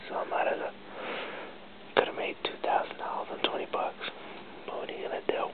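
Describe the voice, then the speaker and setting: Whispering at a fairly quick pace, a man leaves long, frequent pauses. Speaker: vlogger. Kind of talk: casual talk to camera. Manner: whispered. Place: home room. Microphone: webcam.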